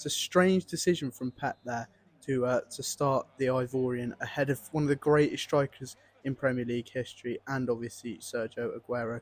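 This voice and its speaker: A man with an English accent talks at a fairly quick pace in a dry, close sound with no echo. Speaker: gaming YouTuber. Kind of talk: gameplay commentary. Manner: animated.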